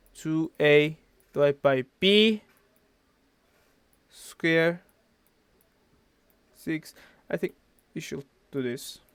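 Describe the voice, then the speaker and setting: Speaking at a very slow pace with long, frequent pauses, a man with a non-native accent uses a fairly high voice, recorded with a dry, close sound and no echo. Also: ordinary pitch variation. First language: not English. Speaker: physics tutor. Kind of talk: tutorial. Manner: halting.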